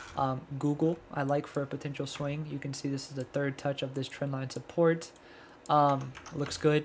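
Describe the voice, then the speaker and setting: A soft-spoken man talks at a moderate pace in a fairly high pitch, his intonation monotone and flat. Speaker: stock trading streamer. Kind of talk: live stream market breakdown. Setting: livestream. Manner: low energy.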